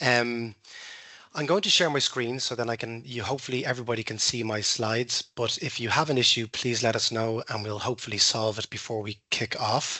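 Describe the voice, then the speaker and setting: A man's medium-pitched voice with an Irish accent, fairly quick and with fairly even intonation. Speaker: recruiter. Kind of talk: workshop presentation. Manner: fast.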